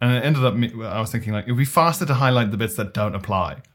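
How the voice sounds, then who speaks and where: Very clean with a silent background, the recording has a man with a British accent speaking very fast at a medium pitch with ordinary pitch variation. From South Africa, moved to UK as a child. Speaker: stand-up comedian. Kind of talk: casual chat.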